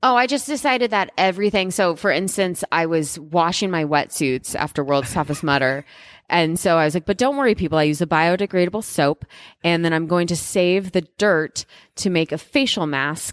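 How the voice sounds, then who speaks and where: Dry and close with no echo, this very clean recording with a silent background carries lively intonation at a moderate pace. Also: woman, fairly low pitch for a woman. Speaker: obstacle course racer and ultra runner. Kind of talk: podcast interview.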